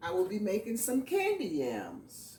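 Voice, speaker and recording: This woman has a fairly high voice with a Southern US accent. Her pitch swings very widely up and down. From US South. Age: 50s. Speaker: home cook. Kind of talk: cooking tutorial. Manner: casual.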